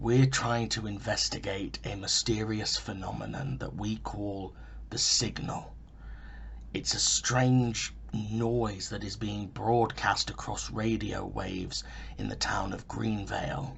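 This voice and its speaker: Someone speaks at a fairly slow pace in a put-on character voice over clear background noise. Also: man. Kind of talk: found-footage vlog monologue. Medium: audio drama. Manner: halting, earnest, self-interrupting.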